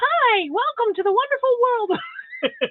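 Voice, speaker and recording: This is a put-on character voice. It sounds squeaky and sits at an extremely high pitch. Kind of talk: radio announcer.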